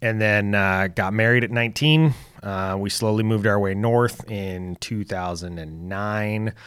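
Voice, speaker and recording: In a normal speaking voice with an American accent, the speaker talks at a fairly slow pace with ordinary pitch variation on a very clean recording with a silent background. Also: man, fairly low pitch for a man. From US West, south central Oregon (Lake County). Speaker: hunter and sports coach. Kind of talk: casual interview storytelling.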